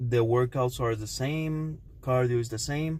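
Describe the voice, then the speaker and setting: Speaking with a Cuban accent, a man talks at a fairly slow pace with fairly even intonation. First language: Spanish. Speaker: fitness vlogger. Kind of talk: casual vlog talk to camera. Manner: halting, many fillers.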